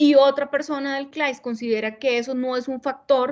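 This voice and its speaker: A woman's monotone, flat voice against a quiet background. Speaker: panelist on domestic violence response. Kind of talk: videoconference presentation. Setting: video call. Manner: fast.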